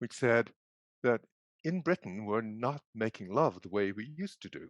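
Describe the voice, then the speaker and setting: A man with an Irish accent speaks at a fairly slow pace with lively intonation. The sound is dry and close with no echo, and the background is quiet. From Ireland. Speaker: psychiatry professor. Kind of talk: presentation.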